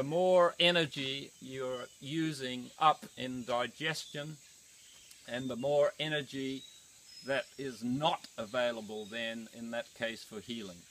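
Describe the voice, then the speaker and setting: A man speaks at a very slow pace with big swings in loudness. Noticeable background noise runs underneath. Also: medium pitch for a man, ordinary pitch variation. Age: 70s. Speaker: raw food and exercise teacher. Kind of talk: outdoor talk to camera. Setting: outdoors.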